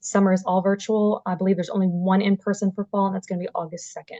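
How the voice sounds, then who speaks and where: Speaking at a very fast pace, a woman has medium pitch and a dark, mellow tone. The sound is dry and close with no echo. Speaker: university staff presenter. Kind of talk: informational presentation at a virtual event. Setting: video call.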